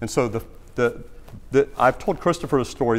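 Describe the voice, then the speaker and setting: With a Southern US accent, a man speaks at a moderate pace and medium pitch. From US South, South Carolina (Greenville). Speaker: former TV executive and plane crash survivor speaking at church. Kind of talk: church talk Q&A. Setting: church with audience. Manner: halting, many repetitions and fillers.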